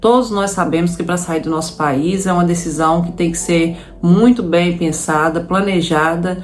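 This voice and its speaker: Speaking with a Minas Gerais accent, a woman uses a fairly low pitch and ordinary pitch variation, with audible room echo around her. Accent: Brazilian Portuguese, Minas Gerais (mineiro). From Brazil, Minas Gerais. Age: 30s. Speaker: immigrant vlogger. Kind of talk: personal story to camera. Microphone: no proper microphone, audio may be poor.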